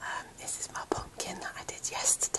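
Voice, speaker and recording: The speech is whispered. Background noise is noticeable. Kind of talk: ASMR whisper talk to camera.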